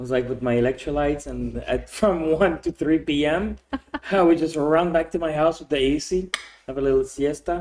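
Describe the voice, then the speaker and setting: A man with a Quebec accent speaks in a fairly high pitch with fairly even intonation. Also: fairly quick pace. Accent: French Canadian accent in English. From Quebec, Canada. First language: French. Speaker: expat entrepreneur. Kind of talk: podcast interview. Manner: casual, with many repetitions.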